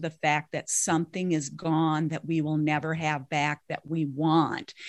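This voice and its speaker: A woman with an American accent and fairly low pitch, heard dry and close with no echo on a very clean recording against a silent background. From Minnesota. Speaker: grief recovery specialist, parent educator. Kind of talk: interview.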